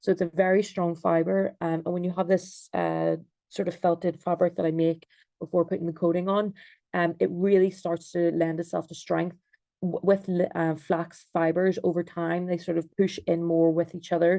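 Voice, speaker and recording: A woman with an Irish accent speaks at a moderate pace in a fairly low pitch, her dark, mellow tone held in monotone, flat intonation. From Ireland. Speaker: textile designer and researcher. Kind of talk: online presentation. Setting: video call. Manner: hesitant, many ums.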